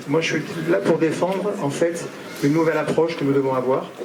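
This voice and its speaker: A man with a southern French accent and a fairly high pitch speaks at a very fast pace with fairly even intonation. Noticeable background noise and audible room echo are present. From southern France (Marseille area). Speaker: horse owners' union president. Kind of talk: public speech. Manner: hesitant, many fillers.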